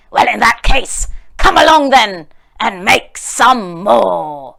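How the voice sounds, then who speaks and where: In a put-on character voice, a woman growls at a very slow pace with a fairly high pitch. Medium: read story. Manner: gruff, commanding.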